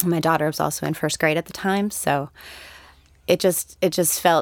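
A normal speaking voice with an American accent and fairly even intonation, on a very clean recording with a silent background. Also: woman. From Connecticut, US Northeast. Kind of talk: podcast interview discussion.

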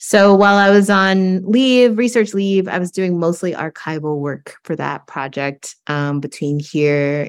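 In a very clean recording with a silent background, a woman with an American accent and a normal speaking voice talks at a fairly slow pace with lively intonation. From rural East Texas. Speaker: professor. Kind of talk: interview.

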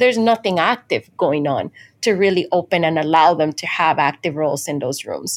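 Speaking in a Spanish accent, a woman uses a fairly low pitch and lively intonation at a moderate pace. The recording is very clean with a silent background. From Dominican Republic. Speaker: chemical engineering professor. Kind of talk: interview.

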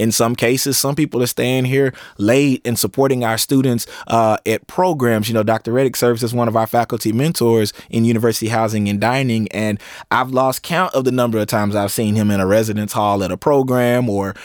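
Dry and close with no echo, the recording carries a man with an ordinary speaking voice, medium pitch and a fairly quick pace. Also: very clean recording, silent background. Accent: American. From East Texas (Tyler). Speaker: university administrator and scholar. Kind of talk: interview.

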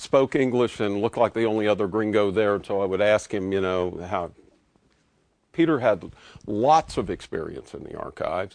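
An ordinary speaking voice from a man, fairly low in pitch, at a fairly quick pace with ordinary pitch variation against a quiet background. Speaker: historian introducing speaker. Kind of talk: formal introduction.

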